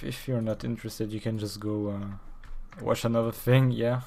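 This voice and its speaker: A French accent is heard. The speech runs at a moderate speed. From France. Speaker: streamer. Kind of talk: casual live stream chat while working. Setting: live stream. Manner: halting, many fillers.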